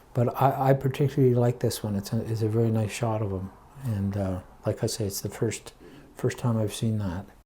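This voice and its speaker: A dark, mellow tone, somewhat breathy, with fairly even intonation at a moderate pace. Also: man. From Quebec (Montreal). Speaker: son of a war cameraman. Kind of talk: casual interview chat. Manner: halting, with many fillers.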